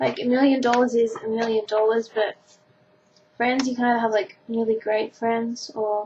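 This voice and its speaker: Speaking at a moderate pace, a woman with an Australian accent keeps a fairly high pitch and fairly even intonation. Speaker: vlogger. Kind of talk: casual chat. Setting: webcam recording at home.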